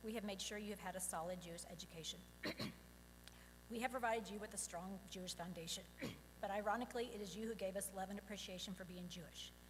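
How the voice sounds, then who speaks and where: A woman of medium pitch speaks at a very fast pace, her intonation fairly even. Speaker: parent of bar mitzvah boy. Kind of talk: prepared speech. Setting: synagogue service.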